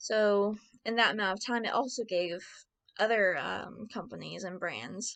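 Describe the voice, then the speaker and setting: Delivery is very slow, over a quiet background. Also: woman. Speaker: marketing student. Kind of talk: class presentation. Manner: hesitant, with stutters and fillers.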